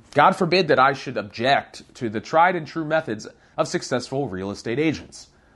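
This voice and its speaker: Speaking at a moderate pace, a man has a normal speaking voice, a fairly high pitch, and lively intonation. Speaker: realtor and show host. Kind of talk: audiobook reading of own book chapter. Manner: conversational, candid, sardonic.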